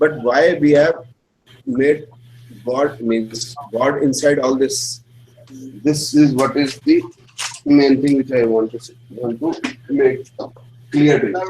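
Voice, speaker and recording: A man with an Indian accent speaks very slowly, leaving long, frequent pauses. His intonation is fairly even, but his loudness swings widely. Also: fairly high pitch for a man. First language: Hindi. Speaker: astrology teacher. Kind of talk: lecture.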